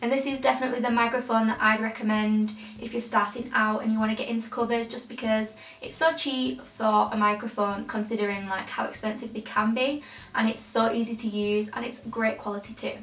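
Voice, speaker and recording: A woman with a British accent at a fairly quick pace and fairly high pitch, her intonation fairly even, amid noticeable background noise and audible room echo. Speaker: singer and YouTuber. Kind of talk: tutorial. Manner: chatty, fast.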